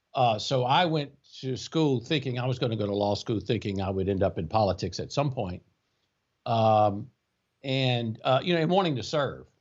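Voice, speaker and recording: The speaker has a South Louisiana accent, lively intonation and a moderate pace. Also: man, medium pitch for a man. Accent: South Louisiana Southern US. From US South, Louisiana (Baker, near Baton Rouge). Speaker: tax attorney, law firm co-founder. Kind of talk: casual interview.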